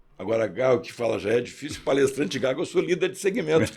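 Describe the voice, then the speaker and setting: A man's fairly high, fairly quick voice with vocal fry. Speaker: executive and speaker. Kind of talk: interview.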